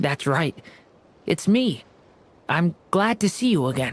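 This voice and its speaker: In a put-on character voice, the speaker goes at a fairly slow pace with a middle pitch. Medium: video game. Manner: soft-spoken, hesitant.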